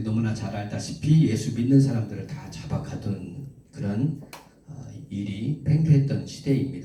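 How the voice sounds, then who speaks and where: At a moderate pace, the speaker's lively intonation carries over audible room echo. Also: man. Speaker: preacher. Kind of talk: sermon.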